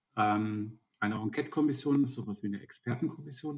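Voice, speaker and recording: A man talks at a moderate pace. He has a plain, everyday voice, pitched at a medium level. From Lower Saxony, Germany (Alfeld). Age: 50s. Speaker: state politician. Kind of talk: interview.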